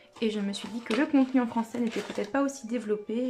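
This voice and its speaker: Against noticeable background noise, a woman with a fairly high pitch talks at a very fast pace with fairly even intonation. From French-speaking country. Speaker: K-pop collecting youtuber. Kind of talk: casual vlog narration while organizing cards. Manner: hesitant, many filler sounds.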